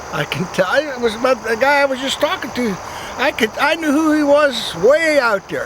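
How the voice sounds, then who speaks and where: A man speaks at an extremely high pitch with ordinary pitch variation. The pace is moderate, and background noise is noticeable. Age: 80s+. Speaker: trail walker interviewed. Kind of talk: casual interview. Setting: outdoors on a trail.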